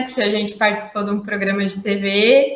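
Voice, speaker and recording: This woman has a fairly high pitch and fairly even intonation. She speaks with a São Paulo accent. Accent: paulista. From São Paulo, Brazil. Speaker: environmental manager. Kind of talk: casual live stream chat.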